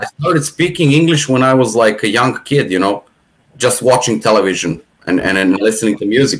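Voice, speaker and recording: This man talks at a medium pitch with ordinary pitch variation, in a Serbian accent. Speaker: atheist podcast guest. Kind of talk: casual chat. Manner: halting, many repetitions.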